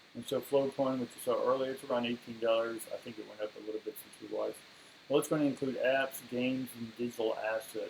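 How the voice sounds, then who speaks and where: Speaking very fast at a medium pitch, the man is heard against noticeable background noise. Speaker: crypto video host and esoteric coach. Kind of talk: casual monologue video.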